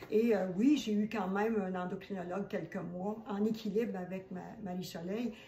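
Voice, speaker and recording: A woman talks at a moderate pace and medium pitch, her intonation fairly even. Noticeable background noise can be heard. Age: 70s. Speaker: holistic esthetician. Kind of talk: testimony. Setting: home kitchen.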